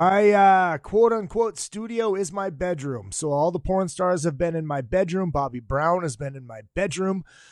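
An animated man at high pitch and moderate pace, with lively intonation, hardly any pauses and big swings in loudness. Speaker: podcast host and comedian. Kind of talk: casual interview.

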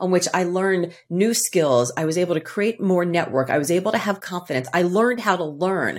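Her pace fairly quick, a woman with a plain, everyday voice talks at a medium pitch. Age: 50s. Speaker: author and keynote speaker. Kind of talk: casual chat.

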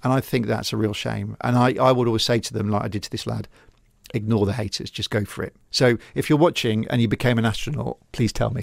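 A man with a West Country accent, very fast pace, vocal fry and ordinary pitch variation. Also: medium pitch for a man. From England, Gloucester. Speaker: TV news reporter. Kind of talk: casual interview. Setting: radio studio.

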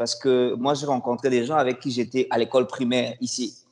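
Using an ordinary speaking voice, a man talks fairly quickly at medium pitch with fairly even intonation. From DR Congo, Kinshasa. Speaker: former student, newcomer services worker. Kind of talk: casual interview.

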